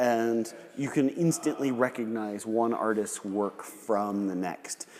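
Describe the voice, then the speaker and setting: Using a plain, everyday voice, a man speaks at medium pitch with ordinary pitch variation. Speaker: gallery host interviewing a potter. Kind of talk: live demonstration commentary and interview. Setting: pottery gallery, live demonstration.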